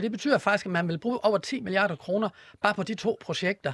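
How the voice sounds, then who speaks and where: A man's voice in a dry, close sound with no echo. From Denmark, Horsens (East Jutland). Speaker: politician. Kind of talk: panel debate. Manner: halting, repeats words.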